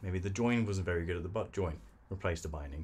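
Somewhat breathy, a man's very deep, low voice carries the speech. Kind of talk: casual workshop talk explaining practices. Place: workshop.

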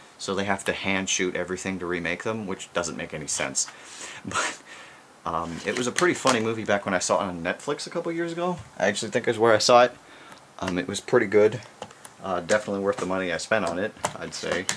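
Noticeable background noise sits behind a man with a fairly low pitch. He talks at a very fast pace. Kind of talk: casual vlog chat. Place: home room.

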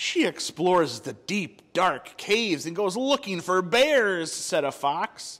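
An unforced reading voice with lively intonation

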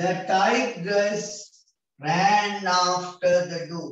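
Fairly even intonation amid strong room echo. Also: man. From Sri Lanka. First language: Sinhala. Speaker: English teacher for grade 6 pupils; teacher. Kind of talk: online class lesson. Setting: video call. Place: home room. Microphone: video call.

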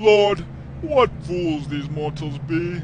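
A man's fairly high voice over clear background noise. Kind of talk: theatrical stage declamation. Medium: machinima. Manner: grandiose, melodramatic.

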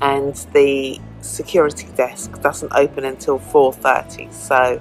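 A woman's voice over clear music in the background. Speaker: travel vlogger. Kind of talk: casual vlog chat. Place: station. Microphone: phone near.

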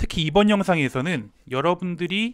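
A man's lively intonation stands out against a quiet background. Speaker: language teacher channel host. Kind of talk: educational talk to camera. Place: home room. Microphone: lapel.

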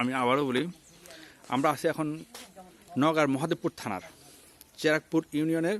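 A man with an unremarkable speaking voice talks at a fairly high pitch with ordinary pitch variation. The sound is dry and close with no echo. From Chittagong, Bangladesh. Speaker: livestock market vlogger. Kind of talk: on-location vlog commentary and interview.

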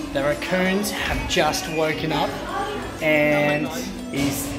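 A man speaks at a very slow pace. Loud music plays in the background. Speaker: travel vlogger. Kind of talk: casual vlog chat. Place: cafe. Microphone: phone near.

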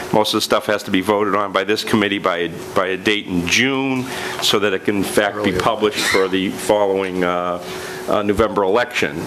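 The speaker talks at a fairly quick pace with fairly even intonation. Noticeable background noise runs underneath. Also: man. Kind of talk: meeting deliberation remarks. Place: meeting room. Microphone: podium.

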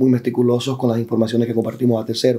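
A man's dark, mellow voice at a very fast pace. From Dominican Republic. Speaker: tech company employee; interview guest. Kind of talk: interview. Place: studio. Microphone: lapel.

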